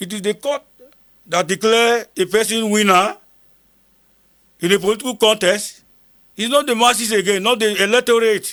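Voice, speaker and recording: This man, with a northern Nigerian accent, speaks at a moderate pace in a bright, sharp tone, his high pitch held to a fairly even intonation and broken by long, frequent pauses. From northern Nigeria, Kogi State (Igala). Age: 70s. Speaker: retired army sergeant major, war veteran. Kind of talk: interview testimony. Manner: repetitive, emphatic.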